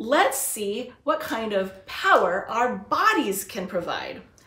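A woman's voice carries audible room echo. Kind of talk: educational lesson for children. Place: home room. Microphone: camera far.

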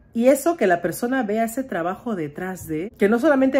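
This woman has an animated tone and lively intonation. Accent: Peruvian. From Peru. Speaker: vlogger and home cook. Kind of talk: casual vlog talk to camera.

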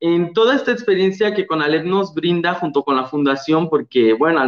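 Moderately paced male speech with a quiet background. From Guerrero, Mexico. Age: young. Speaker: former award winner, nursing graduate. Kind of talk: testimony. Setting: video call. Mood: warm, enthusiastic. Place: home room. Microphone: video call.

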